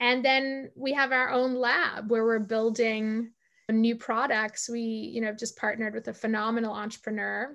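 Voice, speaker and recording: Bright and sharp in tone, a woman speaks with a fairly high pitch. Her pace is moderate and her intonation monotone and flat. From South Africa. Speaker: tech executive and leadership coach. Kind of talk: podcast interview.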